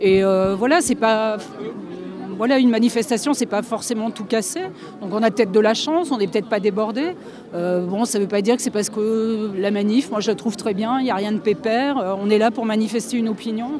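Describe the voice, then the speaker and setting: Against noticeable background noise, a woman speaks at a fairly quick pace with a fairly high pitch and ordinary pitch variation. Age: 60s. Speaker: street protester. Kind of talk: street interview.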